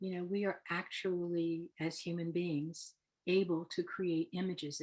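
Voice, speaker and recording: A woman speaks softly with a fairly low pitch. Her pace is very slow. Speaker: hypnotherapist. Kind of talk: lecture. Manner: soft-spoken; hesitant, many fillers.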